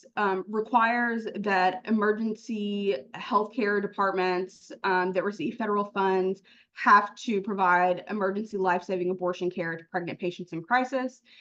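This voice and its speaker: A woman's unremarkable speaking voice, medium in pitch, at a fairly slow pace with fairly even intonation. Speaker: lawyer. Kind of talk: panel presentation.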